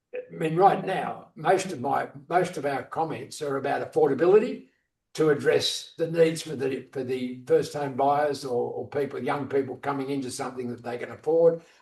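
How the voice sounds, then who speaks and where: A man with an Australian accent speaks at a moderate pace with hardly any pauses, his fairly high voice somewhat breathy. His pitch varies in an ordinary way while his loudness swings widely. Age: 80s+. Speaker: strata advocacy group representative. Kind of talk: Q&A after presentation. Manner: halting, repeats words.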